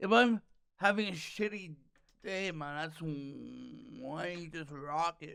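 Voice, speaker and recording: A man's bright, sharp voice, high in pitch with ordinary pitch variation, at a fairly slow pace broken by long, frequent pauses. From Canada, Toronto area. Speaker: stand-up comedian. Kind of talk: casual chat. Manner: halting, repeats sounds.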